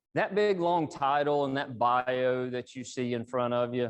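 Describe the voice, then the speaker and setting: Man at a moderate pace with lively intonation. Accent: Appalachian. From East Tennessee (Appalachia). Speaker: engineering executive, guest speaker. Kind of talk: professional talk to audience. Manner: casual, conversational.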